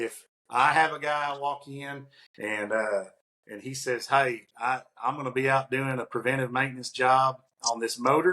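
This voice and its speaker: This man talks at a moderate pace. His tone is bright and sharp, with fairly even intonation. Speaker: podcast co-host, industrial maintenance consultant; podcast co-host. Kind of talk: casual conversational podcast. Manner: many fillers and restarts. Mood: warm, anecdotal. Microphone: earbuds.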